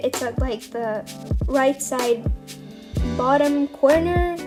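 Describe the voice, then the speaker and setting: With music in the background, a woman speaks in a high pitch with ordinary pitch variation. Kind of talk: casual unscripted game commentary. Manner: hesitant, stuttering.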